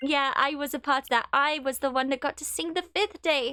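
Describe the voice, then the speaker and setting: Speaking in a Welsh accent, a woman projects a raised, high-pitched voice at a moderate pace, in a dry, close sound with no echo. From Wales. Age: 20s. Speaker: gaming live streamer. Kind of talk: casual live stream chat. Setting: live stream.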